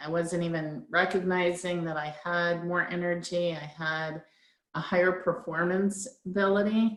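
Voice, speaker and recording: A woman with a plain, everyday voice speaks at a fairly slow pace, her fairly low pitch held in fairly even intonation. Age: 60s. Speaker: product user sharing results. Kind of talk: testimony. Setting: conference call.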